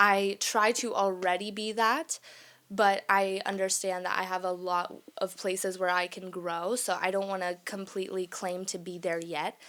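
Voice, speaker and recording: A woman with an American accent speaks at a moderate pace in a bright, sharp tone with monotone, flat intonation. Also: medium pitch for a woman, very clean recording, silent background. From Texas, small town, Mexican family. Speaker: podcast host. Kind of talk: casual monologue podcast.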